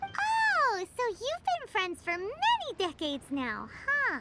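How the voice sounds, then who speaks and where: A squeaky, put-on character voice comes through at an extremely high pitch. Its pace is fairly slow. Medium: video game. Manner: blunt, curious.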